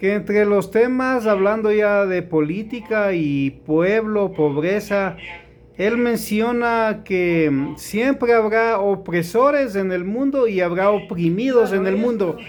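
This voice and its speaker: A man speaks at a high pitch and a very slow pace, with ordinary pitch variation. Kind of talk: interview question.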